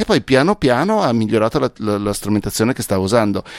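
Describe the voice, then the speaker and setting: A man talks at a very fast pace and medium pitch, in an animated tone. The sound is dry and close, without echo. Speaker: podcast expert and author. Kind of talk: casual chat. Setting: video call.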